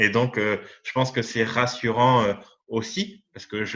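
Against a quiet background, a man talks at a very slow pace with fairly even intonation. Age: 30s. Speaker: image consultant. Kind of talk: interview. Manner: halting.

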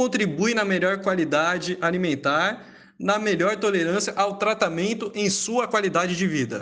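A man speaks at a moderate pace. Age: 20s. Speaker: nutrition professional. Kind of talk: reading aloud. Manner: formal.

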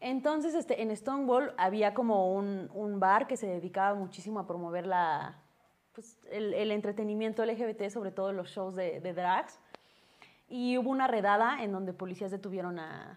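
Her delivery is a normal speaking voice from a woman, with ordinary pitch variation and a moderate pace. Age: 30s. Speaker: comedian. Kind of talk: casual chat.

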